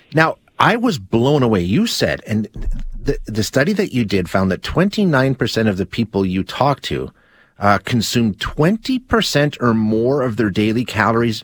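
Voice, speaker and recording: Recorded very cleanly against a silent background with a dry, close sound and no echo, a man speaks at medium pitch and a fairly slow pace with lively intonation. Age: 50s. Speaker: radio show host. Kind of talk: interview. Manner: halting.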